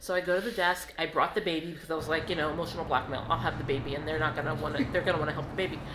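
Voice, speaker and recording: Amid noticeable background noise and audible room echo, a woman talks at a very fast pace in a fairly low pitch. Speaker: travel vlogger. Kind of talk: casual storytelling vlog.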